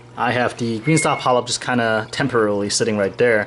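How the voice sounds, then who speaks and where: Moderate pace and fairly even intonation over noticeable background noise. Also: man. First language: Chinese. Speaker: reef aquarium vlogger. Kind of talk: casual vlog.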